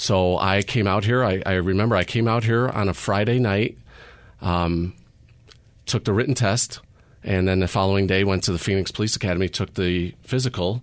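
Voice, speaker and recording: Using a plain, everyday voice, a man with an American accent talks at a moderate pace and fairly low pitch, with fairly even intonation and very even loudness. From Chicago. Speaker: police sergeant. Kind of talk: radio interview.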